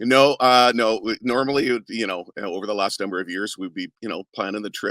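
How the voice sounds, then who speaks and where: A man speaks at a moderate pace in an enthusiastic, bright, sharp tone. The recording is very clean with a silent background, and the sound is dry and close with no echo. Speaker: arena PA announcer and voice actor. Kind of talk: interview answer. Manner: enthusiastic, conversational.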